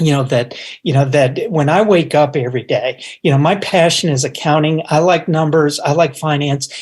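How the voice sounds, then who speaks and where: Speaking at a moderate pace with an American accent, a man with a fairly high pitch keeps his loudness very even and his intonation fairly even. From Upstate New York. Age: 60s. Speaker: business executive. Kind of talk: interview. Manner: halting.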